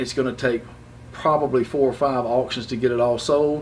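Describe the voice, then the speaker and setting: A man with an American accent and a medium pitch talks at a fairly quick pace. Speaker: auctioneer. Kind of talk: auction promo talk to camera. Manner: casual, enthusiastic.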